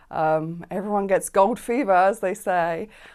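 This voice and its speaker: On a very clean recording with a silent background, a woman in a London accent speaks with fairly even intonation. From South London, England. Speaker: business owner. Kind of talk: interview. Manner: hesitant with fillers.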